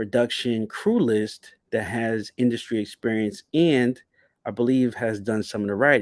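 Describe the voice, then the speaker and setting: In a New Jersey accent, a man talks at a moderate pace and medium pitch, in a very clean recording with a silent background. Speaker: YouTube TV show commentator. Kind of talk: livestream commentary. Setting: livestream.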